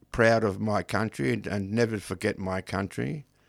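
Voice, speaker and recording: Heard in a very clean recording with a silent background, a man speaks with an Australian accent. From Australia, Melbourne. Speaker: poet and creative writing teacher. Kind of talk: radio interview. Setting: radio studio. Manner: halting.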